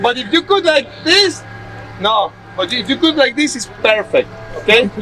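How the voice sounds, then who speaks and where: Raising and projecting his voice over noticeable background noise, a man speaks at an extremely high pitch with lively intonation. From Mexico. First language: Spanish. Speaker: bamboo construction instructor. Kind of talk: hands-on workshop demonstration. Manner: halting.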